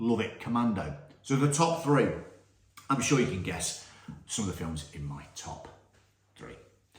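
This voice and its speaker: With a British accent, the speaker's animated tone brings very wide pitch swings, big swings in loudness and long, frequent pauses, with audible room echo. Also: man, medium pitch for a man. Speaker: film review youtuber. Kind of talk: casual film ranking monologue. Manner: fast.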